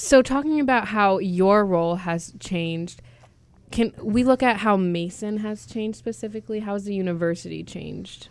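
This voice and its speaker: This woman has a normal speaking voice at medium pitch, with ordinary pitch variation. She keeps a moderate pace, and her loudness swings widely. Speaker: student radio host. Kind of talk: interview. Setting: studio.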